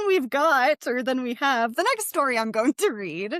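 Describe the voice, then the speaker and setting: Loud and high-pitched, a woman's voice makes very wide pitch swings, recorded dry and close with no echo. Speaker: podcast co-host reading ghost stories. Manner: animated.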